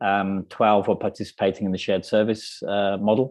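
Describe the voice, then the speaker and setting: Against a quiet background, a man speaks with a British accent. His pitch is fairly low and his pace moderate. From UK. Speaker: business consultant and CEO. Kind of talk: panel discussion. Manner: hesitant, many fillers.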